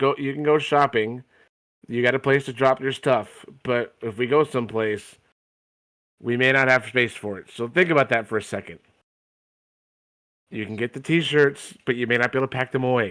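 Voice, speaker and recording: Putting on a raspy character voice at a medium pitch, a man speaks at a moderate pace with long, frequent pauses on a very clean recording with a silent background. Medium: actual play. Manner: blunt, matter-of-fact.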